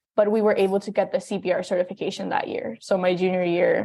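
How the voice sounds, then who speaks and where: A woman with a Spanish accent speaks at a very fast pace. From Texas, Brownsville / Mexico. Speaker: college student. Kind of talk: interview.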